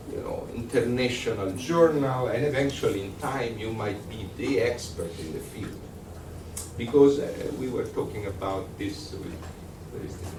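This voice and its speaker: A man with an Italian accent speaks at a moderate pace and medium pitch, with lively intonation and big swings in loudness. Audible room echo and noticeable background noise are present. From Italy. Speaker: lecturer. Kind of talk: lecture. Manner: halting.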